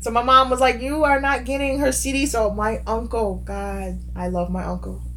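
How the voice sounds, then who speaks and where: A woman at a moderate pace with hardly any pauses, in a room with audible echo. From UK. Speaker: co-host. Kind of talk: casual chat.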